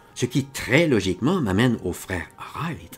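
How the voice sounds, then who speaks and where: A man speaks against noticeable background noise. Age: 70s. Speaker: author reading his own tale. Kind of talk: reading aloud.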